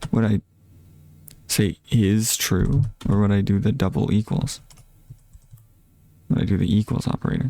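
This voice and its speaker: Quiet and at very even loudness, a man speaks at a moderate pace in a fairly low, dark, mellow tone, the sound dry and close with no echo, broken by long, frequent pauses. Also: ordinary pitch variation. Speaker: streamer learning to code. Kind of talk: live coding stream, thinking aloud. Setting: live stream. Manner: quiet, low volume; halting, many fillers and restarts.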